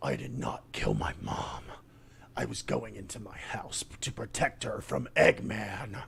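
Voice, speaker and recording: Over clear background noise, a man growls in a put-on character voice at a fairly slow pace. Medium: read story. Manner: cold, sneering.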